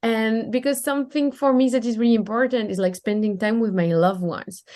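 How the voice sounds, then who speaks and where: A woman talks very fast in a strong French accent, her fairly high voice dark and mellow with ordinary pitch variation. The background is quiet. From France. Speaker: time management and business coach. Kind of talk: podcast interview.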